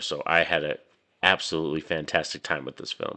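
Over a quiet background, a man with an American accent talks at a very fast pace, his very deep, low voice carrying a bright, sharp tone. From New Mexico, US. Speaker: movie reviewer YouTuber. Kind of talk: casual video review. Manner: animated. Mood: enthusiastic. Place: home room. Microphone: studio mic.

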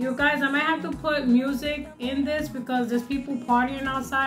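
With clear music in the background, a woman speaks at a high pitch with fairly even intonation. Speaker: food vlogger. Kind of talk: casual vlog chat. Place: home room. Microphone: phone near.

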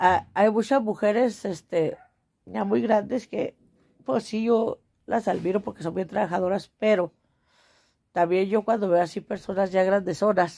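With long, frequent pauses, a woman speaks at a fairly slow pace in a dark, mellow tone with ordinary pitch variation. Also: quiet background. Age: 40s. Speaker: vlogger, small market trader; vlogger. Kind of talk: casual monologue to camera. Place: home room. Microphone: phone near.

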